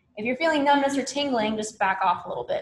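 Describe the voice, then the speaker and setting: A woman with a Southern US accent, somewhat breathy, talking at a very fast pace with lively intonation. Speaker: yoga instructor. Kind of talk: live online fitness class instruction. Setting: livestreamed class from home. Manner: calm, instructive.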